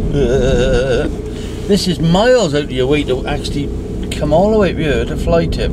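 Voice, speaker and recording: Loud background noise runs under this man as he talks at a moderate pace. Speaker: van driver vlogger. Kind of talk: angry rant while driving. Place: car. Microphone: phone near.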